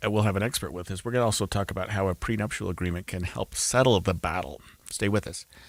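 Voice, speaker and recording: Recorded very cleanly against a silent background, with a dry, close sound and no echo, a man speaks very fast in a fairly low pitch with ordinary pitch variation. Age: 60s. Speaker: radio talk show host. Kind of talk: host-read ad; talk radio.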